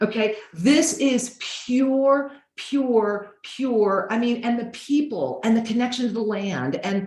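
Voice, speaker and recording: A woman speaks at a fairly high pitch with lively intonation. Room echo is audible. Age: 60s. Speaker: spiritual teacher. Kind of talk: interview in video call. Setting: video call. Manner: animated.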